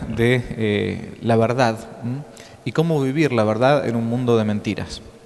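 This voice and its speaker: A man with an Argentine accent at a fairly slow pace, over noticeable background noise. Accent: Rioplatense Argentine Spanish. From Argentina, Buenos Aires. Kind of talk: lecture. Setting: conference hall with audience. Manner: hesitant, filler-heavy.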